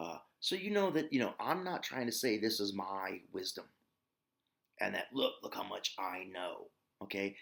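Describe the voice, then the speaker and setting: Talking in an Ozark accent, a man leaves long, frequent pauses while his pitch swings very widely. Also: medium pitch for a man, moderate pace. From US, Ozarks. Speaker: yoga and meditation teacher. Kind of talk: spiritual teaching talk. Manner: casual with filler words.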